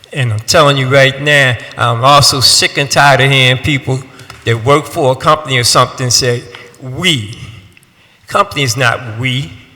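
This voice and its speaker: A man with an animated tone speaks at medium pitch and a moderate pace. Noticeable background noise can be heard. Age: 60s. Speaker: resident giving public testimony. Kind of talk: public testimony. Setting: city council hearing.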